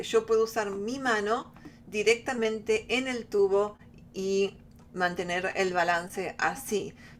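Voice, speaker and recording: Ordinary pitch variation marks a woman's fairly high voice. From Argentina. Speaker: flutist, workshop teacher. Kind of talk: online workshop. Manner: halting.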